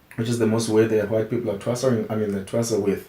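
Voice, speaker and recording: The voice stays monotone and flat against noticeable background noise. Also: man. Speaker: traditional healer and musician. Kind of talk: interview. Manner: halting, with frequent restarts.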